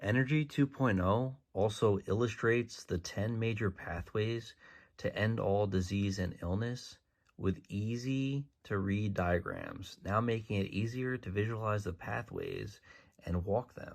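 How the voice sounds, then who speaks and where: Soft-spoken man, fairly low in pitch, with ordinary pitch variation and a fairly slow pace, in a very clean recording with a silent background. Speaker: author promoting books. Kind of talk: sales pitch. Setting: social media video.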